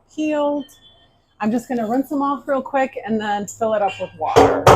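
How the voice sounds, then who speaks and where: A woman talks in a high voice with lively intonation. Noticeable background noise is present. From Ukraine. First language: Ukrainian. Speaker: tea room owner, cooking video host. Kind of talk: cooking tutorial. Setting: kitchen.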